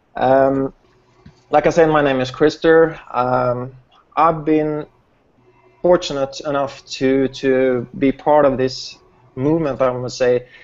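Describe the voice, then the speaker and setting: Over music in the background, a man with a Swedish accent speaks very slowly in a fairly high pitch, his intonation monotone and flat and his speech broken by long, frequent pauses. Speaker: network marketing host. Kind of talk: online group hangout presentation.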